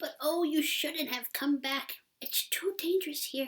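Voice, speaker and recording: Whispering at a moderate pace, a woman puts on a hoarse character voice. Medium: read story. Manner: gentle, tender.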